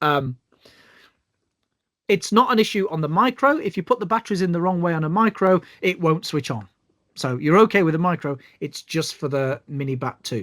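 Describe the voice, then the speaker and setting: With a British accent, a man speaks in a high pitch at a fairly quick pace. His intonation is lively, broken by long, frequent pauses. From UK. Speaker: bioacoustics trainer. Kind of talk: online tutorial. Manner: hesitant, many fillers.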